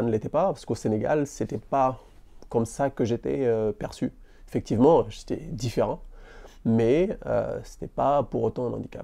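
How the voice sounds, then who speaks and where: A man speaks at a moderate pace with vocal fry, a dark, mellow tone and ordinary pitch variation. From Senegal. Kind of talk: interview answer. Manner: stammering.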